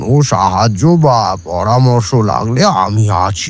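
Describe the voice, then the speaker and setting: A man speaks very slowly in a put-on character voice. His pitch sits fairly low, and his intonation is lively. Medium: audio drama. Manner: measured, sagely.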